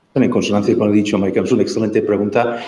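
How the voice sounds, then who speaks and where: Audible room echo surrounds a man's dark, mellow tone at a medium pitch. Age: 60s. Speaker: marriage and family formation speaker. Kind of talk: talk with audience questions. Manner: halting.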